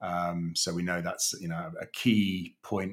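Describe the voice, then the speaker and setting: In a very clean recording with a silent background, a man with a British accent speaks at a very deep, low pitch with monotone, flat intonation. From Kenya and UAE, British family. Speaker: leadership coach. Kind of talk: interview. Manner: hesitant, many repetitions.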